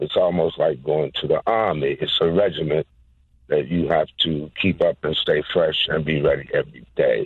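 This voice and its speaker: A man's voice at a moderate pace, with very even loudness. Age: 60s. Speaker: pastor, caller. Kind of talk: call-in comment.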